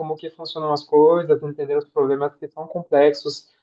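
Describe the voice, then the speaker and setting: A man speaks at a fairly quick pace with a French accent. His fairly high voice stays monotone and flat. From France. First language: French (speaking Portuguese). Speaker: impact evaluation specialist. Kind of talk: self-introduction in webinar.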